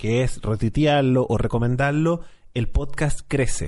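A man speaks at a fairly slow pace in a plain, everyday voice, medium in pitch with ordinary pitch variation. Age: 30s. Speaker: podcast host. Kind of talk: casual chat.

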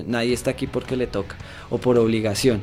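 At a fairly quick pace, a man with a medium pitch talks in a monotone, flat intonation. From Colombia, Bogotá. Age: 20s. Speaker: metal band bassist. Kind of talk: radio interview. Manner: halting, many fillers.

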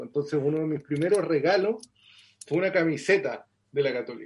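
Using a normal speaking voice, a man talks at a fairly quick pace, his pitch fairly high and varying in an ordinary way. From southern Chile (Concepción, Los Ángeles). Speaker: journalist and author. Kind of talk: interview.

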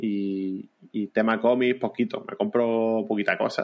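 Medium-pitched male voice with monotone, flat intonation. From Andalusia, Vélez-Málaga. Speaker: illustrator and history popularizer. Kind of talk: casual interview.

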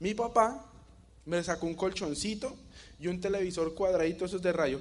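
Animated in tone, a man talks at a high pitch with ordinary pitch variation. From Colombia, Bogotá. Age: 20s. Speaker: network marketing distributor. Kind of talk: motivational talk.

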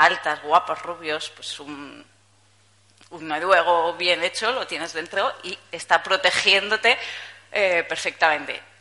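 A woman at a very slow pace amid noticeable background noise. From Spain, Zaragoza (Aragon). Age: 30s. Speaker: journalist giving a conference talk. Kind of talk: conference talk. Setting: stage with audience. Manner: casual, with hesitations.

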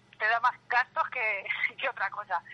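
In a dry, close sound with no echo, a woman with an ordinary speaking voice speaks at a moderate pace, her fairly high pitch carrying fairly even intonation. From Albacete, Spain. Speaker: band singer. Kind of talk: interview.

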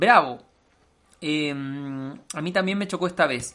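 A man with a Chilean accent speaks in a bright, sharp tone with ordinary pitch variation. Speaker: podcast host. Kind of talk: casual chat.

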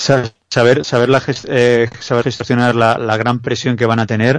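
A man speaks at a medium pitch and a moderate pace against a quiet background. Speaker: basketball analyst. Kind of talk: sports analysis chat. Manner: halting.

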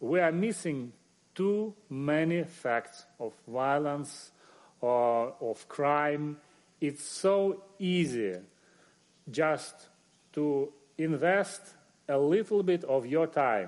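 Speech in a Russian accent comes at a very slow pace with long, frequent pauses and lively intonation. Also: man, fairly high pitch for a man. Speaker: journalist and media editor. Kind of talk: panel discussion.

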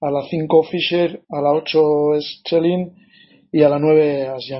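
This man has a fairly high pitch and speaks in a flat, monotone way. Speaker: former football coach and commentator. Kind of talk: live sports analysis.

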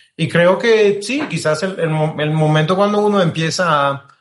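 A man with a French accent speaks in a high voice with fairly even intonation. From France, Marseille. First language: French (speaking Spanish). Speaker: diplomat. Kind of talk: interview. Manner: halting, many repetitions.

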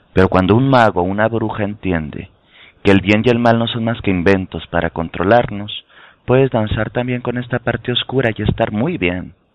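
Speaking at a moderate pace with ordinary pitch variation, the man has an unremarkable speaking voice that sits fairly low. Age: 30s. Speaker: tarot and spirituality teacher. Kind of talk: casual chat. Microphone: connection dropping in and out.

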